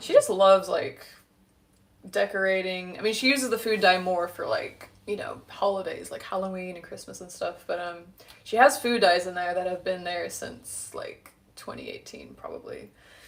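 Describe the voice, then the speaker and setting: A woman talks at a moderate pace with an American accent. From San Diego, US, then London from age ten. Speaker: home cook streamer. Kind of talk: casual cooking livestream chat. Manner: hesitant, many fillers.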